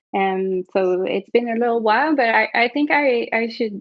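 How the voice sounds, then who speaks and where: A woman with a French Canadian accent talks with ordinary pitch variation. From Quebec, Canada. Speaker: martial arts teacher. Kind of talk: podcast interview.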